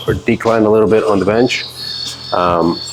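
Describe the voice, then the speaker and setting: Noticeable background noise surrounds a man speaking at a fairly quick pace. His fairly low voice keeps fairly even intonation. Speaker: fitness creator. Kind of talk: workout tutorial. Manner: fast; mumbling.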